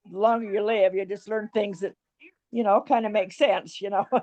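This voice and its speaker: A woman speaks at a moderate pace with a fairly high pitch. Her tone is dark and mellow, with ordinary pitch variation. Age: 80s+. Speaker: participant in online gathering, mother of organizer. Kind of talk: casual chat. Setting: video call. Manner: halting.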